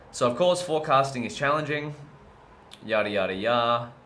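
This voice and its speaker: With lively intonation and a bright, sharp tone, a man talks at a fairly quick pace amid audible room echo. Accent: Australian. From Australia. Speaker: machine learning educator streaming live coding. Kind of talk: live-streamed research and coding session. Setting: live stream. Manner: casual, erratic.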